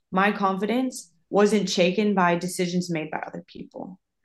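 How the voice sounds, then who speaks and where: A woman with a normal speaking voice, medium in pitch, at a moderate pace with fairly even intonation. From Minnesota, US Midwest. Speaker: professional soccer player. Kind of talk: casual interview.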